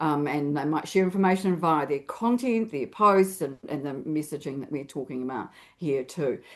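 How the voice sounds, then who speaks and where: Lively intonation runs through speech in a New Zealand accent at a moderate pace. Hardly any pauses come, and the background is quiet. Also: woman, very deep, low pitch for a woman. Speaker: LinkedIn expert and author. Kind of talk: interview.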